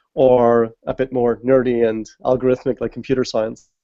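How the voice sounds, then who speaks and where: The sound is dry and close with no echo. A man speaks in a dark, mellow tone. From Ireland. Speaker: games user research expert. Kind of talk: interview on live video hangout.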